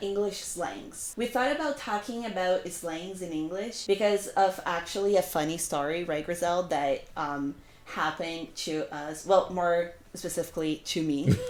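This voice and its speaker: Noticeable background noise runs under a woman speaking at a moderate speed. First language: not English. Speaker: language educator. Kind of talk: casual chat.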